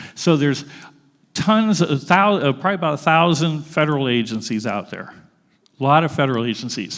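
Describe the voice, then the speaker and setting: Here a man talks at a fairly quick pace and a fairly high pitch. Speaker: grant funding expert, panel speaker. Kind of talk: presentation to an audience. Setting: school auditorium with audience. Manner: fast.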